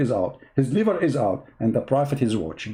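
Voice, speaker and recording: A man with an Arabic accent speaks at a moderate pace and a fairly high pitch, with very wide pitch swings. His tone is dark and mellow, with vocal fry. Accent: Arabic accent, non-native English. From Middle East. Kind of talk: polemical monologue. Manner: animated, mocking.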